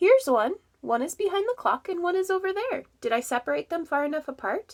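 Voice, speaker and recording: Putting on a squeaky character voice, a woman speaks at a fairly quick pace, raised and projected, at an extremely high pitch with very wide pitch swings, in a dry, close sound with no echo. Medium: read story. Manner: folksy, matter-of-fact.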